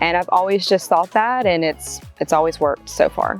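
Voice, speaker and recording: Music plays in the background as a woman talks with a Southern US accent. Her pitch is medium and her intonation lively. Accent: Southern US drawl. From North Carolina. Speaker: real estate agent. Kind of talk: interview answer.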